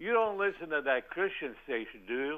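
A man is speaking. His intonation is lively. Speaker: caller. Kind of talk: casual chat. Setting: phone call. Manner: halting.

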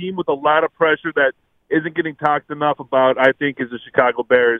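A man with an American accent and an ordinary speaking voice, at a fairly quick pace with ordinary pitch variation. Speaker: caller. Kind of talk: call-in sports talk. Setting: phone call.

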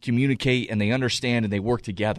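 A man against a quiet background. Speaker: former quarterback turned radio analyst. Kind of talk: sports radio panel talk. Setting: radio studio. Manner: animated, fast, enthusiastic football talk.

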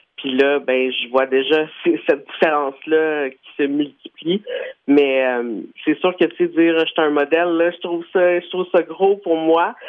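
Speaking at a fairly slow pace, a man with an ordinary speaking voice holds a fairly high pitch and ordinary pitch variation. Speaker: radio host. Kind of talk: interview.

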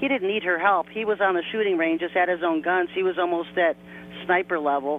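A woman with a normal speaking voice goes at a fairly quick pace, her intonation lively. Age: 50s. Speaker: online religious conspiracy preacher accused of leading a cult. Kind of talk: radio interview.

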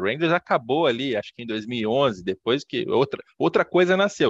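A man uses lively intonation at a moderate pace, in a normal speaking voice. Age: 30s. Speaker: podcast host, sports business journalist. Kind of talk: interview.

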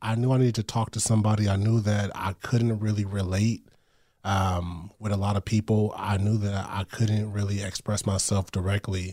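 In a very clean recording with a silent background, a somewhat breathy voice with a dark, mellow tone speaks in monotone, flat intonation. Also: man, fairly low pitch for a man, moderate pace. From US West Coast, Long Beach, California. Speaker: author and poet. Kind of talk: casual interview. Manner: halting, many fillers and repetitions.

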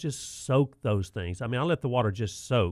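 A man talks with a Southern US accent. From US South. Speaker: radio host, garden center manager. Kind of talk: call-in radio chat.

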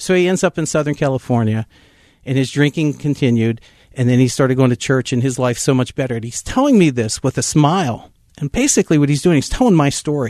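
Speech with an American accent races at a very fast pace with ordinary pitch variation, the sound dry and close with no echo over a quiet background. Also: man, fairly high pitch for a man. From Pittsburgh area, Pennsylvania. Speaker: pastor. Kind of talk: testimony.

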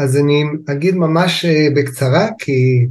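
There is audible room echo around a man's somewhat breathy voice. He has a fairly high pitch. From Israel, kibbutz in the north. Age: 60s. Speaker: family constellation therapist. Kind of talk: interview, explanatory.

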